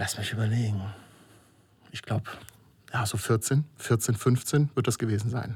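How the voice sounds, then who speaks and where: Somewhat breathy, a man speaks at a fairly slow pace with long, frequent pauses. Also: medium pitch for a man, fairly even intonation. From Germany, Moselle region (Rhineland-Palatinate). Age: 40s. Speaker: filmmaker. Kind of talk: interview. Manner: hesitant, many filler sounds.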